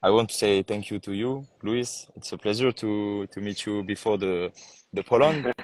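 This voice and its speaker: A man's fairly low voice at a moderate pace, fairly even in intonation, dry and close with no echo against a quiet background. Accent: slight French. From France. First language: French. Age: 20s. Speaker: pageant contestant. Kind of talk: casual interview. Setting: live video call. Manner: halting.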